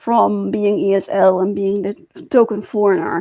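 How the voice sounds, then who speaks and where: A moderate pace with a Dutch accent. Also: woman. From Netherlands. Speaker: YouTuber. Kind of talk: personal vlog monologue. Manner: halting.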